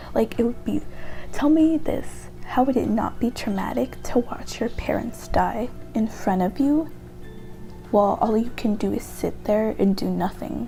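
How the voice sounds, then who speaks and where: A soft-spoken woman talks with music in the background. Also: moderate pace. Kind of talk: casual talk to camera, opinion essay about a video game character. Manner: quiet, soft-spoken.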